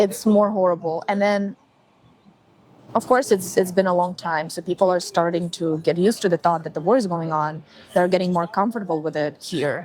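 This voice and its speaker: Fairly even intonation in a Ukrainian accent. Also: woman. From Ukraine, Zaporizhzhia. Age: 20s. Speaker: interviewee. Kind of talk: interview. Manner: halting.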